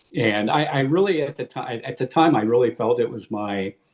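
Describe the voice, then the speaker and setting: Speaking at a moderate pace with ordinary pitch variation, a man talks with a Midwestern American accent. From US Midwest, Illinois. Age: 70s. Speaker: war veteran. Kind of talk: interview. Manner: halting, many repeated words.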